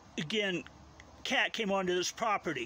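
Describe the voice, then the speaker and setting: With a bright, sharp tone, a man projects his voice in a raised delivery. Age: 70s. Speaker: video blogger. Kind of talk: casual monologue to camera. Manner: rambling, hesitant with fillers. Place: garden. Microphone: phone near.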